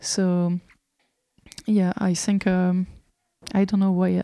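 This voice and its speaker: A woman at a medium pitch and a fairly slow pace, with a dark, mellow tone, in a dry, close sound with no echo and a very clean recording with a silent background. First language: French. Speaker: homeschooling association representative. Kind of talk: interview. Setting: in a friend's house. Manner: halting, many fillers.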